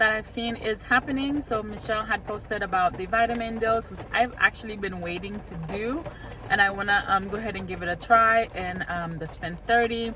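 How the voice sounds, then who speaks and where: With a Haitian accent, a woman talks at a fairly quick pace in a fairly high voice, with ordinary pitch variation and big swings in loudness over noticeable background noise. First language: Haitian Creole. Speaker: couponing vlogger. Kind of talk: casual vlog.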